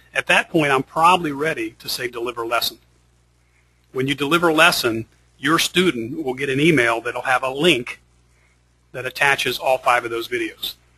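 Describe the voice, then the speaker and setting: Long, frequent pauses in a bright, sharp tone, with ordinary pitch variation and a dry, close sound with no echo. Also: man, fairly high pitch for a man. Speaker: software company founder giving product demo. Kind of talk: webinar tutorial on a call. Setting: conference call. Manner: fast.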